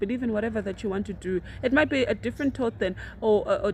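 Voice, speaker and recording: The voice has vocal fry and moves at a very fast pace. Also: woman. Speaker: university student and radio producer. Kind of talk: casual chat.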